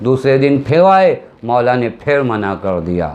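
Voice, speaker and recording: A man speaks with very wide pitch swings. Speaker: Shia cleric giving a majlis sermon. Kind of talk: religious sermon (majlis) delivered in Urdu.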